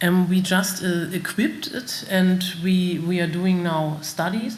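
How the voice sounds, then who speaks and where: The speaker has a German accent and talks at a very slow pace. Audible room echo surrounds the voice. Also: woman. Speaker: company representative presenting bird detection system. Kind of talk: conference Q&A. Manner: halting, many fillers.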